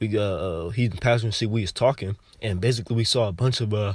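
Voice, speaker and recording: A man speaks very fast in a somewhat breathy voice. His pitch is fairly low and his intonation fairly even. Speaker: religious teacher sharing visions. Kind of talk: informal testimony of a vision. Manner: casual, halting with fillers.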